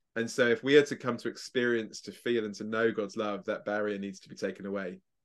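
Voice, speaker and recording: In an English accent, the speech runs at a fairly quick pace with fairly even intonation against a quiet background. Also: man. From England. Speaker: evangelist and speaker. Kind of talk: interview.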